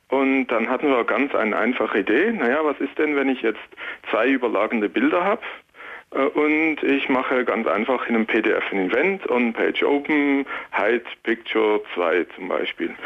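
The intonation is lively. The pace is moderate. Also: man, medium pitch for a man. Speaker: security researcher. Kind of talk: phone-in explanation. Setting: phone call.

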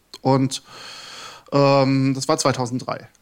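This voice belongs to a man. Its pitch is medium. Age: 40s. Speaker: game developer and lecturer. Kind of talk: casual chat. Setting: live radio studio with audience.

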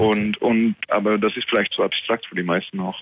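A man speaks with a non-native accent. His pace is moderate and his intonation fairly even. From Netherlands. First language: Dutch (speaking German). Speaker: caller, hosting provider worker. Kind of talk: call-in. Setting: phone call. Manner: halting.

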